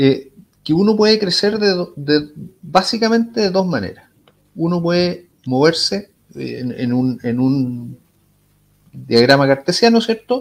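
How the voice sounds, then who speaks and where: A man with a Chilean accent talks at a fairly slow pace in a high pitch, with very wide pitch swings and long, frequent pauses. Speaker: tech company executive. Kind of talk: interview. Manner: halting, many repetitions.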